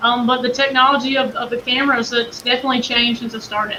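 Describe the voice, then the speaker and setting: A woman talks very fast in a Southern US accent with monotone, flat intonation. Noticeable background noise can be heard. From Kentucky. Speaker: game camera company representative. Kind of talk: interview.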